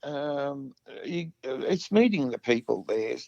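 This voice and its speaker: With an Australian accent, a man speaks at a fairly slow pace in a high pitch with lively intonation, the sound dry and close with no echo. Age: 60s. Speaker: musician, vocalist and guitarist. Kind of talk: casual interview chat. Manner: hesitant, many fillers.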